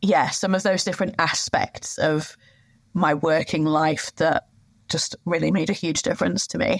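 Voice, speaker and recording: A woman speaks with a British accent. Her pitch sits fairly low. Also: ordinary pitch variation, moderate pace. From UK. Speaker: sustainability manager. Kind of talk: interview. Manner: hesitant fillers.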